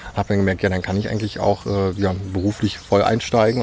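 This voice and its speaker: Very fast male speech, fairly low in pitch, over noticeable background noise. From Saxony, Dresden. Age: 20s. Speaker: youth participation facilitator. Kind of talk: interview. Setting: outdoors in a park.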